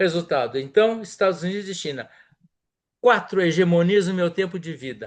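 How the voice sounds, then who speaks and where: Moderately paced, high-pitched speech from a man with ordinary pitch variation. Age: 70s. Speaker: diplomat and professor. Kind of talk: interview. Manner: animated.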